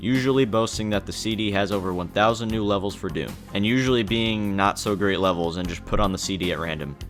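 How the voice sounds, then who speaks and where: A man's fairly low voice at a very fast pace, ordinary pitch variation, and music in the background. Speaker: gaming video narrator. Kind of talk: scripted gameplay commentary voice-over.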